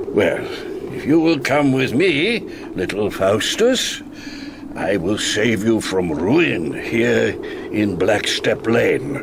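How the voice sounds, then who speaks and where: Against loud background noise, a man does a put-on character voice at a very slow pace. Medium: old radio play. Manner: soft, coaxing and commanding.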